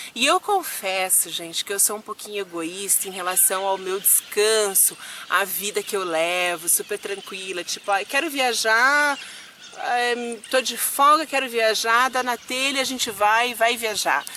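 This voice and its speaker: The voice has lively intonation, heard through noticeable background noise. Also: woman, fairly high pitch for a woman, fairly slow pace. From Curitiba, southern Brazil. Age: 30s. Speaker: vlogger, flight attendant. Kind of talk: casual vlog Q&A.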